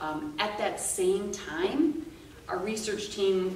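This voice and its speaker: A woman speaks at a very slow pace with ordinary pitch variation. Light background noise and audible room echo can be heard. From northern Wisconsin. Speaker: land steward at an urban nature center; presenter. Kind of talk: presentation to an audience. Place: meeting room. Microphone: camera far.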